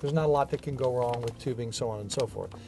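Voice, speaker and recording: A man's voice over noticeable background noise. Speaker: TV show host. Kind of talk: tutorial. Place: garage.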